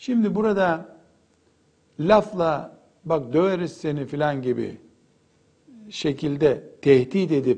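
A man with a fairly high pitch speaks at a very slow pace. Audible room echo fills the recording. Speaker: Islamic preacher. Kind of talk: lecture.

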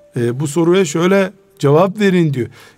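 With ordinary pitch variation and a high pitch, a man talks at a moderate pace against noticeable background noise. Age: 60s. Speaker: Islamic scholar. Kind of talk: religious talk radio discussion. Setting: radio studio.

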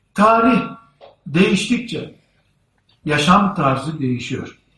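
Amid audible room echo, a man with a high pitch speaks at a very slow pace, his pitch swinging very widely. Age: 50s. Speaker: Islamic preacher. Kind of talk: sermon. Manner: formal.

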